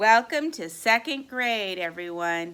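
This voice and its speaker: Using a put-on character voice, a woman speaks at a fairly slow pace with very wide pitch swings. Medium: read story. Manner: brisk, authoritative.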